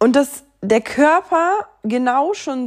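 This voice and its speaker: A woman's voice with very wide pitch swings. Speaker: spiritual podcast host. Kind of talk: casual monologue.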